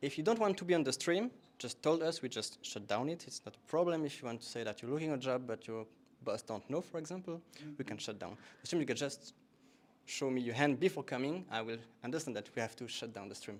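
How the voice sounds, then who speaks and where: Very fast and with lively intonation, a man with a French accent speaks in big swings of loudness. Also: medium pitch for a man. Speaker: meetup host. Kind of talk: event announcements. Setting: stage with audience, streamed.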